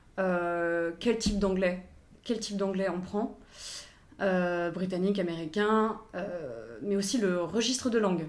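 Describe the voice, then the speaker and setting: A woman speaks at a fairly slow pace with a medium pitch and ordinary pitch variation, and audible room echo surrounds her voice. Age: 20s. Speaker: assistant director and actors' language coach. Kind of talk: interview. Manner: hesitant, many fillers.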